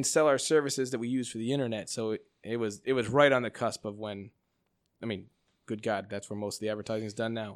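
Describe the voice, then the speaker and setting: On a very clean recording with a silent background, a man with an American accent speaks at a very fast pace, with medium pitch and fairly even intonation. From US Midwest, Chicago suburbs. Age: 40s. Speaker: watch company founder. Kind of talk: casual chat.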